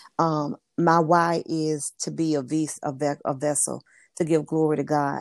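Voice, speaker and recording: Set in a very clean recording with a silent background and a dry, close sound with no echo, a woman speaks at a fairly slow pace in a very deep, low pitch with monotone, flat intonation. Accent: Southern US. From US South, Memphis, Tennessee. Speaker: work-from-home business coach and author. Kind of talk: interview.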